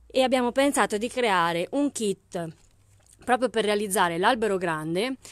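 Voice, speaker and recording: Recorded dry with no echo against a quiet background, a woman speaks at a moderate pace in a fairly high voice, with an upbeat tone and lively intonation. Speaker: craft shop owner selling haberdashery products online. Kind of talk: live-stream sales pitch; street-seller-style pitchman patter, rattling off kit prices and discounts. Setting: live video stream. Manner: upbeat, brisk, persuasive, pushing the bargain with price comparisons; chatty and friendly, greeting viewers by name. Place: shop. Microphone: phone near.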